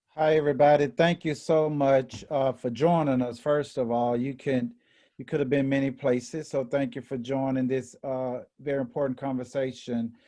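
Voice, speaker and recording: A man with a Memphis accent speaks at a moderate pace in a dark, mellow tone with medium pitch and monotone, flat intonation, over a quiet background. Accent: Southern US (Memphis). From US South, Memphis, Tennessee. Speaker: equity and inclusion officer. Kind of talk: panel discussion. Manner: halting, many repetitions.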